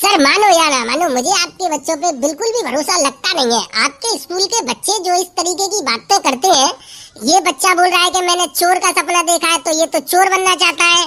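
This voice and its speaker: A woman does a squeaky, cartoonish character voice at an extremely high pitch. She talks at a fairly quick pace with hardly any pauses. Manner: polite but skeptical.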